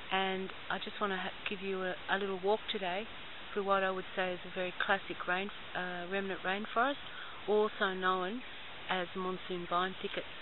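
Over noticeable background noise, a woman talks at a moderate pace in a flat monotone, the sound dry with no echo. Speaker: environmental activist guide. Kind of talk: guided walk narration. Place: open country. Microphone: phone near.

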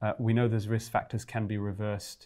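The background is quiet. A man speaks at a fairly low pitch. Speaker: guest. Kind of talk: interview answer. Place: studio. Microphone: lapel.

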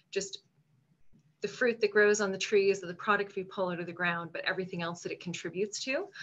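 In a Canadian Maritime accent, a woman speaks with fairly even intonation. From Nova Scotia, Canada. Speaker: food marketing association director; panelist. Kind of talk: panel discussion. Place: home room. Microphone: video call.

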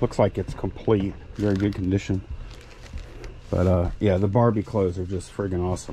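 Very deep and low, a man's somewhat breathy voice with a dark, mellow tone runs at a fairly quick pace in a monotone, flat intonation over light background noise. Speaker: online reseller. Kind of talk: casual vlog chat. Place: shop. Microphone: phone near.

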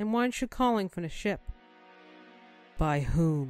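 A woman performs a put-on character voice in an angry tone, with faint music in the background. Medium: voice reel. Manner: cold, commanding, angry.

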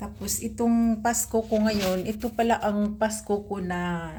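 A woman at a medium pitch speaks very slowly in a dark, mellow, somewhat breathy tone, with monotone, flat intonation. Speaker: private driver, vlogger. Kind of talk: personal vlog. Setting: alone in her room.

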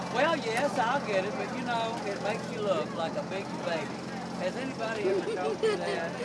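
A man talks at a fairly quick pace, with ordinary pitch variation, as loud background noise plays behind him. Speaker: puppeteer vendor. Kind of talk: playful puppet show banter. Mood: amused, teasing. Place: market. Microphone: phone near.

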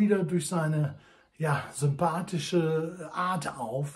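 A man speaks at a very slow pace. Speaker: pipe enthusiast reviewer. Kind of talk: casual vlog chat. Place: home room. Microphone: phone near.

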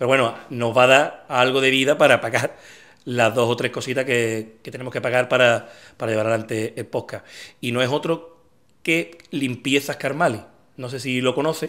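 The man keeps a moderate pace. His intonation stays fairly even. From Andalusia, La Línea (Cádiz); Andalusia. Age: 40s. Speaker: podcast host. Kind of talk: casual interview; sponsor mention. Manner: hesitant, many fillers. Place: home room. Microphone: studio mic.

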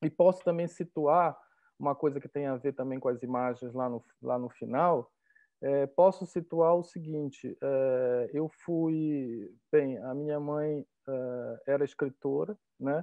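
A man speaks at a very slow pace with a fairly high pitch and ordinary pitch variation. The sound is dry with no echo, over a quiet background. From Belém, Pará, northern Brazil; Pará, Brazil. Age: 50s. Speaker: art professor and curator; art professor. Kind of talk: interview. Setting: video call. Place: home room. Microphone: earbuds.

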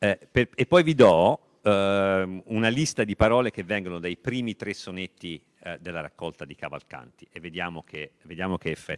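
This is an ordinary speaking voice with lively intonation at a moderate pace. Its loudness swings widely. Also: man, fairly low pitch for a man, hardly any pauses, quiet background. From Tuscany, Italy. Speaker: literature professor. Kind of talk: lecture. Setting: library event with audience, streamed. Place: hall. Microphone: handheld.

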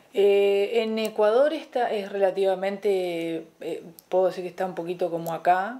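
Dark, mellow tone from a woman, medium in pitch, with ordinary pitch variation and a moderate pace. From Argentina, Entre Ríos (Colón); Entre Ríos, Argentina. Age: 40s. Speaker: fitness coach and athlete; interview guest. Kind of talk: casual interview chat. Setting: TV studio. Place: home room.

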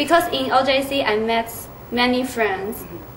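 A woman speaks in a high voice. Light background noise can be heard. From Taiwan. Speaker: exchange student. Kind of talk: interview. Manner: halting. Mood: friendly, smiling, a bit shy. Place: meeting room. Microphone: camera far.

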